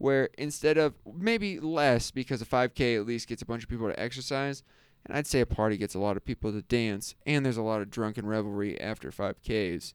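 Against a silent background in a very clean recording, a man talks fairly quickly at a medium pitch in an ordinary speaking voice, with ordinary pitch variation. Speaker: podcast host. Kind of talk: casual chat.

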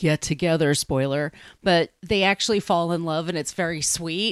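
Speaking in an ordinary speaking voice with an American accent, a woman holds a fairly low pitch with ordinary pitch variation, in a very clean recording with a silent background and a dry, close sound with no echo. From US Northeast, Long Island, New York. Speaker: author and podcaster. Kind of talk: casual chat.

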